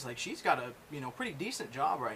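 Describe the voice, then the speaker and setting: Over noticeable background noise, a man talks at a fairly quick pace. His pitch is fairly high. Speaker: podcast host. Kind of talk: casual chat. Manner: loud.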